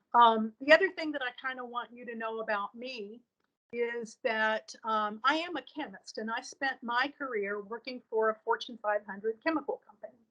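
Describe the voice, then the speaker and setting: A woman with an American accent speaks at a moderate pace in a high, bright, sharp voice, with ordinary pitch variation, big swings in loudness, and a dry, close sound with no echo. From Appalachia, southern Ohio. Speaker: breast cancer survivor, chemist. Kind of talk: testimony.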